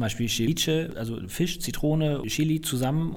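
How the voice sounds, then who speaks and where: A man talks at a moderate pace in a plain, everyday voice with ordinary pitch variation. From northern Germany, Flensburg. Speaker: chef and hotelier. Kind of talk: interview.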